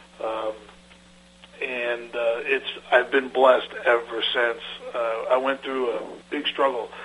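Speaking very slowly with long, frequent pauses, a man holds a medium pitch in a monotone, flat intonation amid noticeable background noise. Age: 50s. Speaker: land surveyor and firm owner. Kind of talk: radio interview.

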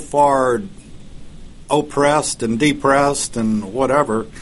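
A man with a normal speaking voice, pitched fairly high, talks at a fairly slow pace with fairly even intonation. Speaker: radio host. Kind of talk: casual radio interview.

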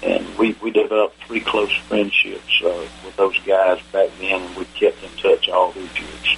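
A man with an American accent shows big swings in loudness over noticeable background noise. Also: moderate pace. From US South, Atlanta. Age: 70s. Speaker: retired army general, veteran. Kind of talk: interview, recounting war stories.

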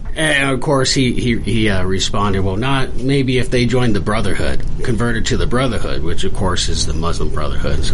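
Noticeable background noise sits behind a man talking fairly quickly at a medium pitch. His loudness stays very even. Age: 30s. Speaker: law student, army veteran. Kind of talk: radio interview, conversational guest. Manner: casual, candid, conversational.

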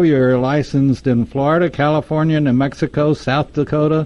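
A man speaks in an ordinary speaking voice. His pace is moderate and his intonation fairly even. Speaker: radio host. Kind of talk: radio hosting, interview.

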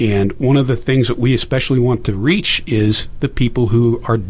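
A man speaks with an American accent. Noticeable background noise can be heard behind him. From Pittsburgh, Pennsylvania. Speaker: veteran and election technology entrepreneur. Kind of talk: radio interview.

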